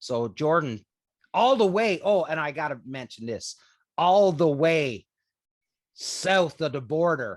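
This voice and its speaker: In a Newfoundland accent, a man speaks very slowly at a fairly high pitch with very wide pitch swings and long, frequent pauses. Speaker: podcast host. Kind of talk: casual chat.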